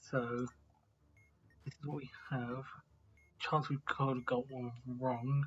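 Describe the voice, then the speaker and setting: The voice is soft-spoken, at a very slow pace. Long, frequent pauses break up the speech. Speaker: gaming video creator. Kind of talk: gameplay commentary. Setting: at home.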